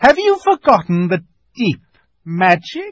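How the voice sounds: A man's put-on character voice, high-pitched and slow, with very wide pitch swings.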